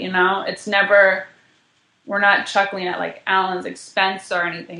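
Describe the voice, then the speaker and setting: A woman's plain, everyday voice at medium pitch and moderate pace. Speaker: guest, improv performer and Twitter page co-creator. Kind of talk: casual interview.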